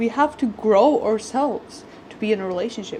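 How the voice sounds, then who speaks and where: A woman speaks at a moderate pace, her fairly high voice showing ordinary pitch variation against noticeable background noise. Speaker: lifestyle vlogger. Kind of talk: casual vlog chat. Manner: animated.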